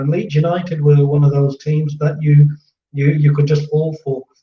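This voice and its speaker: A man speaks at a fairly high pitch in a dark, mellow, somewhat breathy tone. His intonation is monotone and flat, and his pace is moderate. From English Midlands. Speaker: football fan channel host, musician. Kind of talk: casual chat.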